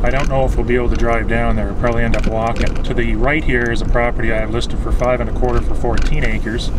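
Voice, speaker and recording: The speaker talks at a fairly quick pace. Loud background noise fills the recording. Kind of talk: casual property tour commentary. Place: car. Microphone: phone near.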